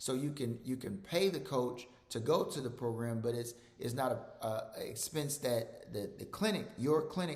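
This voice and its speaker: A man with a Mississippi accent, medium in pitch, with ordinary pitch variation, a moderate pace and audible room echo. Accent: Southern US (Mississippi). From Mississippi, US South. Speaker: physician. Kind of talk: presentation. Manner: repetitive, halting with fillers.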